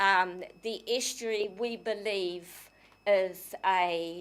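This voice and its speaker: A woman speaks at a medium pitch with a New Zealand accent. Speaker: community society secretary making a submission. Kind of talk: public submission to council. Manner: halting, many fillers; forceful.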